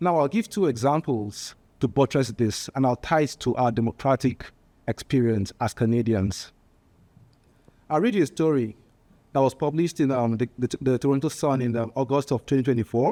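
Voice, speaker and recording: A man's medium-pitched voice in a strong Nigerian accent, dark and mellow in tone, at a moderate pace with ordinary pitch variation, very even loudness, and a dry, close sound with no echo. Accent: heavy Nigerian. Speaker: political candidate. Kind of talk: political speech. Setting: panel discussion with live audience. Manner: halting, with fillers and repetitions.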